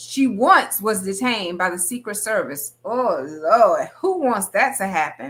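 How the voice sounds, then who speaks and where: A woman with a fairly high pitch speaks at a fairly slow pace, her pitch swinging very widely. Her tone is animated, bright and sharp. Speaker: podcast host. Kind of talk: podcast interview. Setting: virtual video call.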